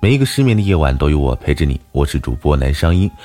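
A man speaks at a fairly quick pace with very wide pitch swings, music playing in the background. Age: 20s. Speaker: live-stream radio host. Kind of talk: casual interview chat. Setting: live stream audio room.

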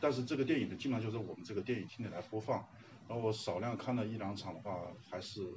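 A man at medium pitch, talking very fast, with ordinary pitch variation. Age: 30s. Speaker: workshop participant and film fan. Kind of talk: self-introduction to a class.

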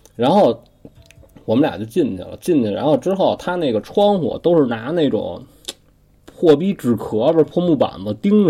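The man's tone is animated, with very wide pitch swings. He keeps a moderate pace. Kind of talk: casual storytelling chat.

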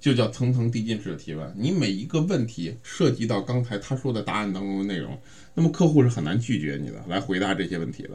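A man talks at a fairly quick pace with very wide pitch swings and vocal fry. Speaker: sales coaching podcast host. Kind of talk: instructional monologue. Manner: casual with many fillers.

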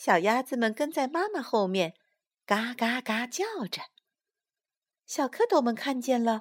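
At a very slow pace, a woman with a high pitch and lively intonation speaks in a gentle, warm tone, the sound dry and close with no echo on a very clean recording with a silent background. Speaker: storyteller. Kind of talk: fairy-tale narration. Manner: gentle, warm, soothing; animated, voicing characters.

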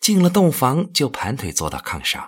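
Bright and sharp in tone, the voice swings very widely in pitch, shows vocal fry, and moves at a fairly slow pace on a very clean recording with a silent background. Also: man. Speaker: audiobook narrator. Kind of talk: literary audiobook reading, narrated novel prose. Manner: measured, storytelling pace, expressive.

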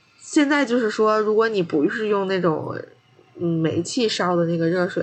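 At a moderate pace, a woman speaks in an unremarkable speaking voice with ordinary pitch variation. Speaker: podcast co-host, master's student. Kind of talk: casual chat.

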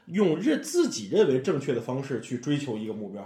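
In a Tianjin accent, a man speaks at a fairly quick pace in an animated, somewhat breathy tone with very wide pitch swings and audible room echo. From Tianjin, China. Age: middle-aged. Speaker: amateur storyteller and comedy fan. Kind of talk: casual chat.

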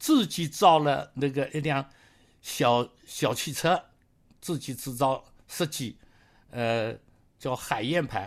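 This man talks at a very slow pace. The recording is very clean, with a silent background. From Jiangsu, Jiangyin countryside. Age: 80s+. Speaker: retired engineer. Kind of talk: life story interview. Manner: halting, many fillers.

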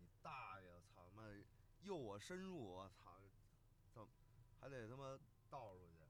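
With big swings in loudness and lively intonation, a man with a fairly low pitch talks at a fairly slow pace, leaving long, frequent pauses amid audible room echo. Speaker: podcast co-host. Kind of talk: casual chat. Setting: in a moving car. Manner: animated.

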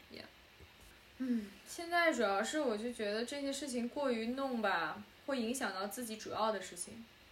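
Amid noticeable background noise and audible room echo, a woman with a fairly high pitch speaks at a moderate pace, her intonation lively and her loudness swinging widely. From China. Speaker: podcast co-host and film student director. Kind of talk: casual chat. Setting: remote call, late night.

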